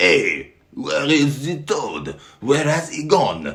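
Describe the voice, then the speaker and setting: A man's put-on character voice in a French accent, at a very slow pace. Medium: read story. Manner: loud, excitable shouting.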